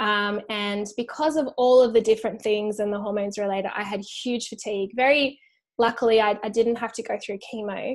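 Speaking with an American accent, a woman talks at a fairly quick pace in a fairly high voice with fairly even intonation. The recording is very clean and the background silent. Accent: Australian, slightly shifted by living in US. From Australia. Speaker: author and resilience speaker. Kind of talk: interview.

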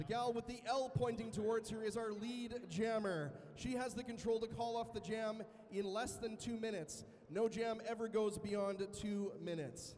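This man's voice is high-pitched, and his intonation stays fairly even. He speaks at a moderate pace over light background noise. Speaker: event announcer. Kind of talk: explanatory announcement to audience. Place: hall.

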